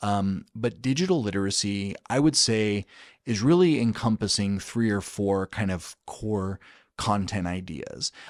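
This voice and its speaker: A man with a fairly low pitch speaks in an ordinary speaking voice, captured in a very clean recording against a silent background. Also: dry, close sound with no echo. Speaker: state education chief of staff. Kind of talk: podcast interview answer.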